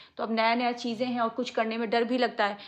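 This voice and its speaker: A soft-spoken woman with a fairly high pitch and a bright, sharp tone. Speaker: family vlogger. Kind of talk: vlog, casual talk to viewers. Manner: speaking softly.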